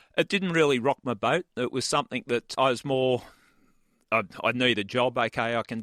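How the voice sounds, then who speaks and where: Moderate pacing, the sound dry and close with no echo. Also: man. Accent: Australian. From Australia, Sydney. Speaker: retired homicide detective. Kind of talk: interview storytelling.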